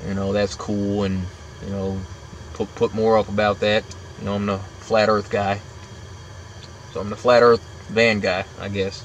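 Fairly low in pitch, a man speaks with monotone, flat intonation. The sound is dry with no echo, over light background noise. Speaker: van-dwelling vlogger. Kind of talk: casual vlog chat. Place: kitchen. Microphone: phone near.

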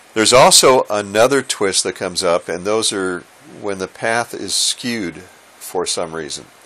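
The pace is fairly slow, the tone fairly bright, and the pitch varies in an ordinary way. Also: man, fairly low pitch for a man.

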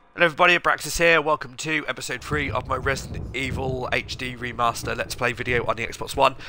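Through noticeable background noise, a man at medium pitch talks at a very fast pace with hardly any pauses and fairly even intonation. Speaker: video game streamer. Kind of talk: casual gaming commentary, let's play. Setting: recorded live stream, home. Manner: relaxed, chatty, thinking aloud.

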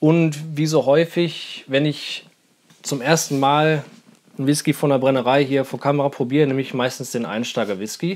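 This is a man's voice. He speaks at a moderate pace. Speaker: whisky reviewer. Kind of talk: casual vlog chat. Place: home room. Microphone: lapel.

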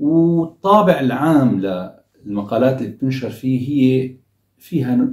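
A man speaks in a dark, mellow tone that is somewhat breathy, with ordinary pitch variation. The background is quiet, though room echo can be heard. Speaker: commentator. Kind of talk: commentary. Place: home room.

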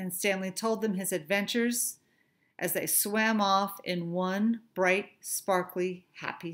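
Someone reads aloud without any strain. The pitch holds fairly even.

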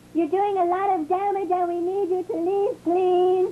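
The voice sits at an extremely high pitch with flat, monotone intonation. Background noise is clearly audible. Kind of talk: deadpan comic politeness. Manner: meek, polite, pleading.

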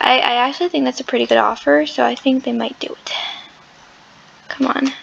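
A woman talking at a fairly quick pace over noticeable background noise. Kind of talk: casual gameplay commentary. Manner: chatty, hesitant.

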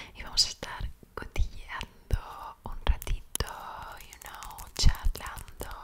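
A woman whispers at a very slow pace. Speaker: ASMR creator. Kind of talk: casual talk to camera while doing makeup. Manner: whispering, soft, intimate. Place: home room. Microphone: studio mic.

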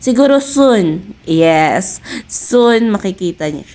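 A woman speaks over noticeable background noise. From Philippines. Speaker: vlogger. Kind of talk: vlog narration.

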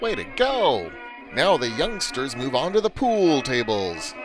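Music plays behind a man whose voice sits fairly high, with very wide pitch swings. He talks at a fairly slow pace in an upbeat, playful tone. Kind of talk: old-style newsreel narration.

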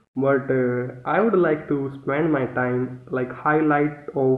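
A man with an Indian accent, very slow and fairly even in intonation, with audible room echo. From India, New Delhi. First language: Hindi. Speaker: english learner. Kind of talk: casual chat. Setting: video call. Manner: halting. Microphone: video call.

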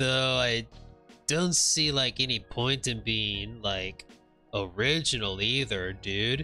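In a put-on character voice, a man drawls at a fairly slow pace, his medium-pitched voice raspy, with faint music playing in the background. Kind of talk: comic overacting. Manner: slurring surfer-bro drawl, filler-heavy.

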